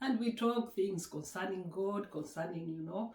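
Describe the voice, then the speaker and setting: A woman with a Kenyan accent speaks at a fairly slow pace and medium pitch, with fairly even intonation. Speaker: YouTuber. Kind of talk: casual vlog chat. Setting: at home.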